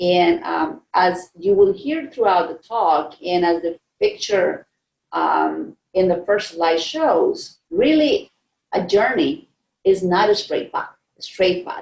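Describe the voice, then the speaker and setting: With a Costa Rican accent, a woman speaks at a very slow pace. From Costa Rica, San Jose. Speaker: scientist. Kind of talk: keynote speech. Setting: virtual conference.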